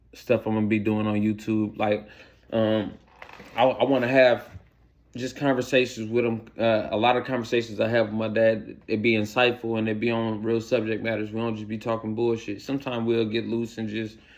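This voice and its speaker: Over noticeable background noise, a man with a medium-pitched voice talks fairly quickly in a monotone, flat delivery. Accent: American. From Iowa, Waterloo. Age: 30s. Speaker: vlogger, recently released from prison. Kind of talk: personal vlog monologue. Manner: halting, many repetitions and fillers.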